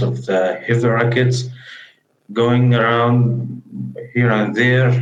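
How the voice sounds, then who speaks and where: A man with a medium pitch speaks at a very slow pace with fairly even intonation, with audible room echo. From Gaza, Palestine. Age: 20s. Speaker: war refugee interviewee. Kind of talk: testimony interview. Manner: halting, with hesitations.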